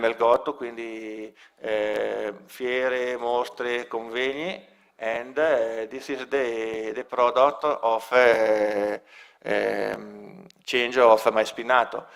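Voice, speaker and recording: A man speaks in an Italian accent at a medium pitch. His pace is very slow and his intonation monotone and flat. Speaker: local project representative. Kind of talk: presentation. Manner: halting.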